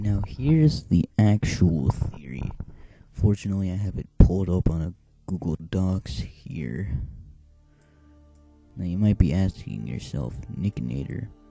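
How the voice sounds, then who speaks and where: A quiet, very deep, low-pitched man at a fairly slow pace, with very wide pitch swings, big swings in loudness and long, frequent pauses over background music. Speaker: gaming video creator. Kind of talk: casual talk to camera.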